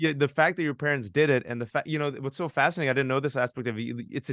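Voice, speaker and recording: A very fast, animated delivery over a quiet background, with a dry, close sound and no echo. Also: man. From USA, child of immigrants. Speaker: moderator. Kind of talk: fireside chat interview.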